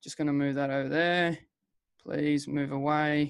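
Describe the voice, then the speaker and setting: A man with an Australian accent over a quiet background. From Western Australia. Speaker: online business presenter, former miner. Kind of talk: webinar sales presentation. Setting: video call webinar with screen share. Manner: casual, energetic.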